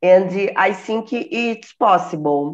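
The speaker is a woman. She talks with a Portuguese accent. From Brazil. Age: 50s. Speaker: retired chemistry teacher. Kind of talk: casual chat. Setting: video call. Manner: halting.

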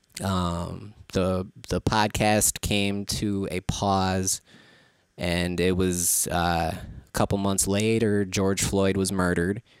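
A man with an Upper Midwest US accent at a very slow pace, on a very clean recording with a silent background. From Saint Paul, Minnesota. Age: 30s. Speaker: rapper and producer. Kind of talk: casual chat. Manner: halting, stuttering.

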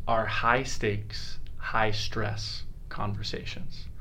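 Speaking very slowly with an American accent, a man is heard with audible room echo. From Utah. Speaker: account executive. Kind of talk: casual chat.

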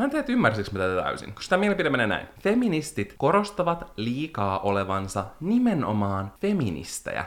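A man talks at a fairly quick pace. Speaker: podcast co-host. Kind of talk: casual chat.

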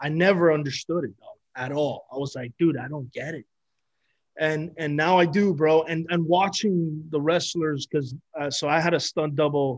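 Delivered at a moderate pace in a normal speaking voice, the speech has fairly even intonation but big swings in loudness. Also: man, fairly high pitch for a man. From Miami, Florida (Cuban-American). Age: 30s. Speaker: actor. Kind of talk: casual chat.

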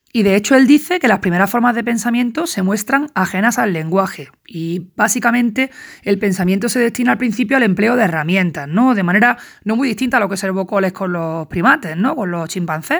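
Lively in intonation, a woman talks at a fairly quick pace on a very clean recording with a silent background. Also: medium pitch for a woman. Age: 40s. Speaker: student recording study notes. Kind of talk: lecture. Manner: halting.

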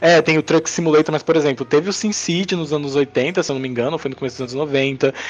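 Amid noticeable background noise, a man talks at a very fast pace with a fairly high pitch. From Brazil, Northeast (Princesa Isabel, Paraíba). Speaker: mobile game developer and entrepreneur. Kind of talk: casual chat. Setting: remote recording.

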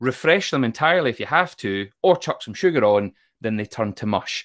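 Recorded very cleanly with a silent background and a dry, close sound with no echo, a man with a west of Scotland accent speaks at a moderate pace in a medium pitch with very wide pitch swings. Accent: west of Scotland Scottish. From Scotland, Troon in Ayrshire. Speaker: motivational speaker and author. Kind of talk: casual interview.

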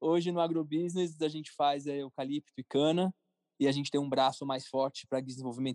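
A man's plain, everyday voice, fairly high in pitch, at a fairly quick pace with fairly even intonation, the sound dry and close with no echo over a quiet background. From São Paulo, Brazil. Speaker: entrepreneur, cartoon creator. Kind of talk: interview. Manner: casual.

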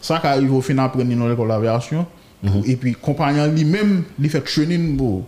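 This is an ordinary speaking voice from a man, pitched in the medium range. He keeps a moderate pace with ordinary pitch variation. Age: 30s. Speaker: air traffic controller. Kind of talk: interview.

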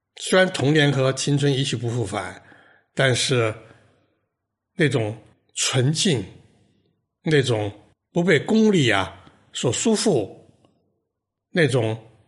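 Very slow, somewhat breathy speech from a man at a medium pitch, with very wide pitch swings and long, frequent pauses. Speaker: podcast host. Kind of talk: reflective monologue.

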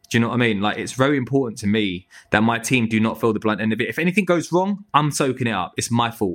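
With a Manchester accent, a man at medium pitch talks at a very fast pace with hardly any pauses, lively intonation and an animated, enthusiastic tone. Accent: Northern English, Manchester-tinged. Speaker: tree surgeon business owner. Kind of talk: casual interview chat.

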